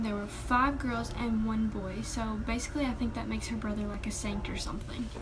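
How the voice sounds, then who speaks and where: A woman talks fairly quickly while noticeable background noise plays behind her. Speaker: vlogger. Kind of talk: casual talk to camera.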